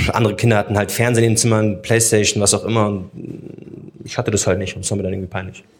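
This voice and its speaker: Through noticeable background noise, a man rattles along at a very fast pace with hardly any pauses, his fairly low pitch held in a monotone, flat intonation. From Munich, Germany. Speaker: social media host and podcaster. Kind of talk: casual chat. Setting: live recording in a theatre foyer with audience.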